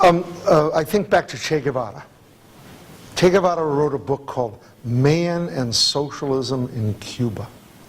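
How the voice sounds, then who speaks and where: A man with an American accent speaks in a normal speaking voice at a moderate pace. His pitch is fairly high and his intonation lively. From New Jersey, New York suburbs. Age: 60s. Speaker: activist speaker. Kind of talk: Q&A discussion.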